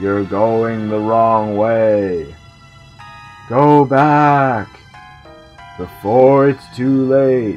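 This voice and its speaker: A man uses a put-on character voice at medium pitch. He speaks at a very slow pace over faint background music. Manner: warning, ominous.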